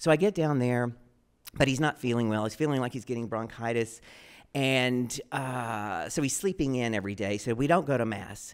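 At a moderate pace and with ordinary pitch variation, a man with an American accent speaks over a quiet background. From Texas. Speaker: storyteller. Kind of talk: live storytelling performance. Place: stage. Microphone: handheld.

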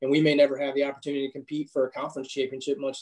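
With an American accent, a man is talking. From Virginia. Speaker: college softball coach. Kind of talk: interview. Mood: reflective, disappointed. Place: home room. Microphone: video call.

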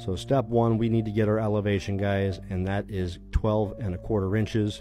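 A man at a fairly low pitch and fairly quick pace, with fairly even intonation, in a dry sound with no echo over clear background music. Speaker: electrician instructor. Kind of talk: tutorial. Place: street. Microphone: phone near.

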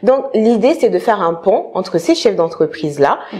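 A woman with lively intonation at a moderate pace. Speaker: career consultant. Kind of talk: interview. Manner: halting. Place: home room. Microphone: lapel.

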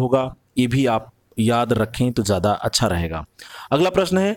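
A man's voice sits at a medium pitch and carries lively intonation. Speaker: exam prep teacher. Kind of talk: lecture.

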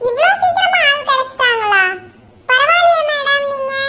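An extremely high, cartoonish character voice at a fairly slow pace

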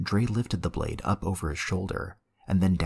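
Nothing much sounds behind the voice. The delivery is plain reading aloud, with pitch shifting in an ordinary way.

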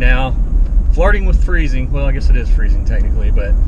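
A man's voice comes through a dry sound with no echo, with noticeable background noise. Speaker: vlogger driving. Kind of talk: casual vlog chat. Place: car. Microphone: phone near.

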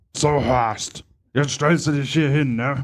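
Putting on a raspy character voice, a man speaks at a fairly slow pace with a fairly high pitch and fairly even intonation. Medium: stage play. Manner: bossy, fussing.

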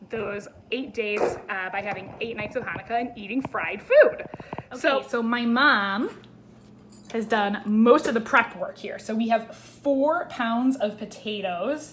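A woman's fairly slow speech with ordinary pitch variation, big swings in loudness, and light background noise. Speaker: home cook vlogger. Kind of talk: casual vlog chat. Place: kitchen. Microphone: phone near.

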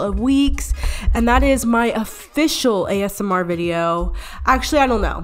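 Over faint background music, a woman speaks at a moderate pace in an upbeat tone with lively intonation. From Atlanta, Georgia, USA. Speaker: YouTuber and ASMR vlogger. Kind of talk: casual talk to camera. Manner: upbeat, chatty. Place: home room. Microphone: studio mic.

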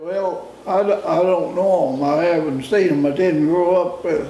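A man's high-pitched voice amid light background noise, with audible room echo. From Kentucky. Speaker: farmer; war veteran. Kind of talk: interview answer. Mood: calm reminiscing. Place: home room.

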